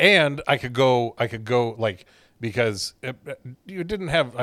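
The speaker is a man. He has an American accent. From Wisconsin. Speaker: podcast co-host. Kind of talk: casual chat. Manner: halting, many repetitions.

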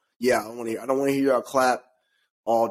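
Captured as a very clean recording with a silent background, a man speaks at a very fast pace. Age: 20s. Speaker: podcast co-host. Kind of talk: casual chat.

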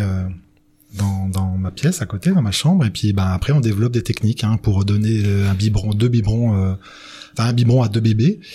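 A man with a dark, mellow tone speaks at a moderate pace, somewhat breathy, with ordinary pitch variation. The recording is very clean, with a silent background. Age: 50s. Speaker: father of twins. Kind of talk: testimony. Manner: halting.

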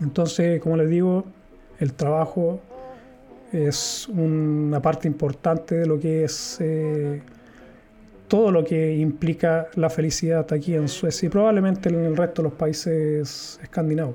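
A fairly high-pitched man at a fairly slow pace with fairly even intonation. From Chile. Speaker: YouTuber and podcaster. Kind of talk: livestream monologue. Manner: hesitant, with fillers.

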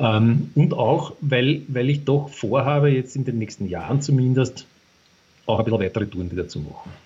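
A man speaks with a normal speaking voice at medium pitch. His pace is moderate and his pitch variation is ordinary. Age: 50s. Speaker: former motorcycle racer. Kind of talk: casual interview. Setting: remote call from country house. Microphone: poor internet connection.

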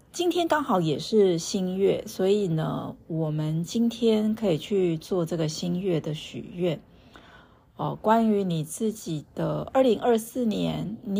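A woman talks at a very slow pace with lively intonation. Her voice is somewhat breathy. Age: 40s. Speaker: meditation and yoga teacher, podcast host. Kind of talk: solo podcast talk on astrology and mindfulness.

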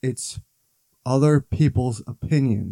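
Dry and close with no echo, a man's dark, mellow voice comes at a medium pitch and a fairly slow pace. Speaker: podcast host. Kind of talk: angry rant. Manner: heated, worked-up, swearing, frustrated.

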